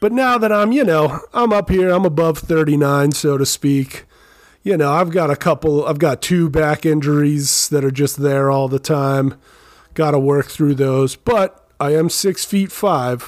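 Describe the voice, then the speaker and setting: A normal speaking voice from a man, fairly high-pitched, with ordinary pitch variation and very even loudness, on a very clean recording with a silent background. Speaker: actor and wrestler, guest judge.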